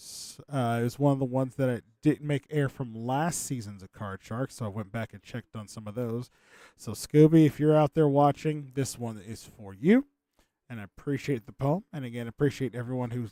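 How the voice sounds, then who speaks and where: This very clean recording with a silent background and a dry, close sound with no echo catches a quiet man at medium pitch, his dark, mellow tone showing big swings in loudness. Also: ordinary pitch variation, moderate pace. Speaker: game show host on livestream. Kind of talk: casual livestream hosting.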